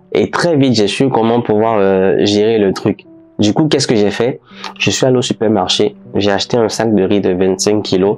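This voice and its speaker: Moderate pace from a man with fairly low pitch and ordinary pitch variation, music in the background. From Benin. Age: 20s. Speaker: photographer and videographer. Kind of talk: casual vlog storytelling. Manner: hesitant, many fillers.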